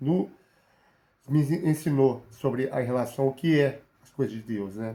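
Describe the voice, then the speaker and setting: With fairly even intonation, a man speaks in a medium pitch and a dark, mellow tone. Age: 40s. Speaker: bible teacher. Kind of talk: sermon. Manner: halting.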